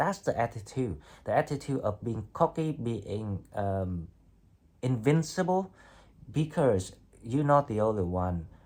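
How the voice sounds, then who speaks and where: A man with a non-native accent speaks at a medium pitch and a fairly slow pace. His pitch swings very widely, and he makes long, frequent pauses. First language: not English. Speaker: tarot reader. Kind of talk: tarot reading monologue. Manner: hesitant, with fillers and restarts.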